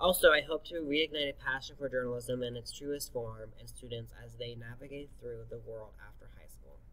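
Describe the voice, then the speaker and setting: A man speaks with hardly any pauses. His loudness swings widely. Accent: American. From Florida (Deerfield Beach). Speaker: high school teacher. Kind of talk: recorded presentation to parents. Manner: fast.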